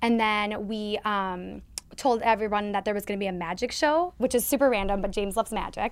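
Fairly quick speech in an American accent, ordinary pitch variation, very clean recording with a silent background. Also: woman, medium pitch for a woman. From Minnesota, US. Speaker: marketing consultant, athlete's wife. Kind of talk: casual interview chat. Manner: talkative; animated.

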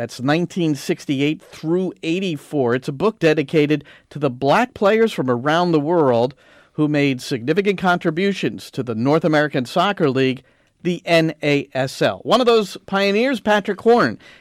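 A normal speaking voice with lively intonation moves at a fairly slow pace. The recording is very clean, with a silent background and a dry, close sound with no echo. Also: man. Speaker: radio host. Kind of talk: radio show hosting and interview.

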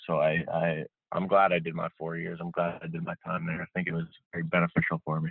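Low-pitched and at a fairly quick pace, a man speaks with fairly even intonation in a dry, close sound with no echo.

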